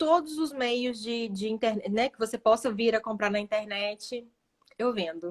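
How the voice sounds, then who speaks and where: Using a plain, everyday voice, a woman speaks at a fairly slow pace in a fairly high pitch with ordinary pitch variation. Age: 20s. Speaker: social media manager and online seller. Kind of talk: live stream interview.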